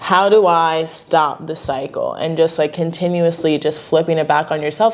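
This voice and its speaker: This woman talks at a fairly slow pace with a fairly low pitch, in a plain, everyday voice. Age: 20s. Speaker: podcast host. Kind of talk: candid conversation.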